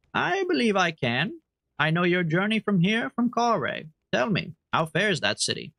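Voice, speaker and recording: Putting on a character voice, a man speaks at a moderate pace in a gravelly, high-pitched tone. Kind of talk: game character voicing. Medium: game stream.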